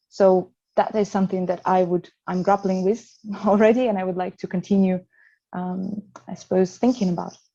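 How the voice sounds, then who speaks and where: In a Russian accent, a woman speaks at a moderate pace with a dark, mellow tone at medium pitch. Her intonation is flat and monotone, over a quiet background. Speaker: psychotherapist. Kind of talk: panel discussion. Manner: halting.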